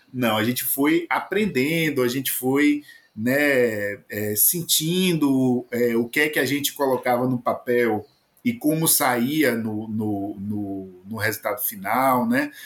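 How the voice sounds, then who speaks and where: With a Bahian accent, a man of medium pitch speaks at a very slow pace with ordinary pitch variation. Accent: Bahian Brazilian Portuguese. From Bahia, Brazil. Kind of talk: casual chat. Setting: home recording booth.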